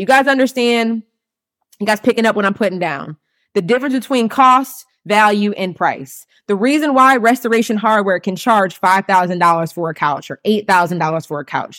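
Spoken at a moderate pace, the voice has an animated tone and lively intonation. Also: woman, medium pitch for a woman. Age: 30s. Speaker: business coach podcast host. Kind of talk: solo live stream teaching.

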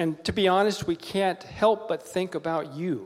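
Pitched high, a man speaks at a fairly slow pace. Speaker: pastor's father. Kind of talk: prayer. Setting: church. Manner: excitable.

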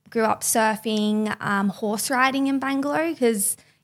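Speaking at a moderate pace with ordinary pitch variation, a woman with an Australian accent is heard on a very clean recording with a silent background. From Byron Bay, Australia. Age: young. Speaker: podcast team member. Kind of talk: casual interview.

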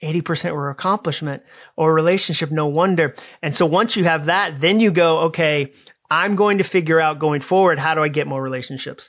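A man with an American accent has an unremarkable speaking voice, fairly high in pitch with fairly even intonation. He talks at a fairly quick pace on a very clean recording with a silent background. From Massachusetts. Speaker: author and speaker. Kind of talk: interview.

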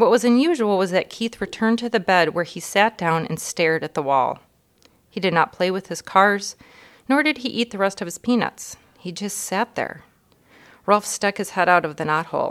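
This woman has an ordinary speaking voice, a medium pitch and lively intonation at a moderate pace. The sound is dry and close with no echo, on a very clean recording with a silent background. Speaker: elementary school staff member. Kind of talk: reading aloud.

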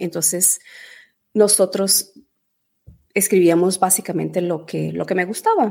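A woman speaks fairly slowly with vocal fry and fairly even intonation. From Venezuela, then Portugal from age 8. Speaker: travel blogger and polyglot. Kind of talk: interview.

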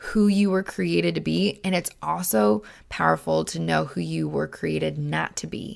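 On a very clean recording with a silent background, a woman speaks in an animated tone at a moderate pace. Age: 20s. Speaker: podcast host. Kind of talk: solo monologue podcast.

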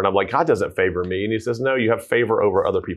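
A male speaker talks here. The accent is Southern US. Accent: Southern US (Georgia). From US South, Georgia (Tucker). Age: 40s. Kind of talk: casual interview.

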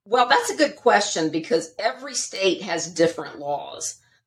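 Here a woman talks at a moderate pace. She has a Southern US accent. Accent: Southern American. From US South, Charlotte, North Carolina. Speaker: divorce attorney. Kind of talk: interview, expert explanation.

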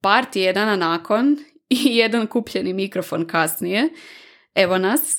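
On a very clean recording with a silent background, a woman speaks fairly slowly. Her fairly high voice has lively intonation. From Croatia, Varaždin. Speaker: podcast host, product manager. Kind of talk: solo podcast monologue.

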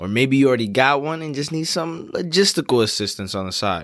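In a normal speaking voice, a man with an American accent talks at a medium pitch with lively intonation, on a very clean recording with a silent background. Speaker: podcast host. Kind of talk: casual chat.

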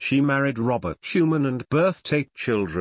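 Over a quiet background, the voice is plain reading aloud with ordinary pitch variation.

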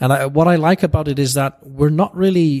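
On a very clean recording with a silent background, a man with an Icelandic accent speaks at a moderate pace. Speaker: golf course architect. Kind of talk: interview. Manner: halting.

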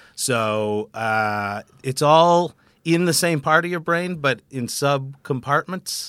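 A man with a Canadian accent, a bright, sharp tone and ordinary pitch variation, on a very clean recording with a silent background, dry and close with no echo. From Canada, Vancouver. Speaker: stand-up comedian. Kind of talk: interview.

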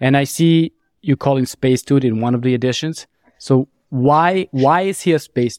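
Recorded in a dry, close sound with no echo, a man with a non-native accent speaks at a fairly high pitch with ordinary pitch variation. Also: moderate pace. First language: not English. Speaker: podcast host. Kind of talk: casual interview.

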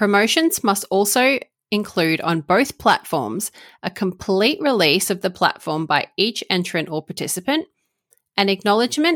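On a very clean recording with a silent background and a dry, close sound with no echo, a woman with an Australian accent speaks at a moderate pace, medium pitch and lively intonation. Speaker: commercial lawyer and podcast host. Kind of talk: informative solo podcast explainer.

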